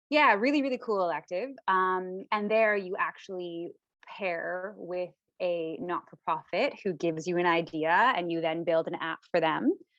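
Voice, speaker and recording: In a Canadian accent, a woman with an unremarkable speaking voice talks at a moderate pace, her medium pitch carried by lively intonation. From Canada. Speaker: lawyer and co-founder. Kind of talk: interview.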